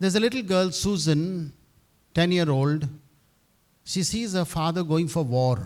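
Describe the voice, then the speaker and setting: Speaking at a fairly slow pace with long, frequent pauses, a man uses a high pitch and ordinary pitch variation. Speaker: university head priest. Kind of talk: speech at event. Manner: halting.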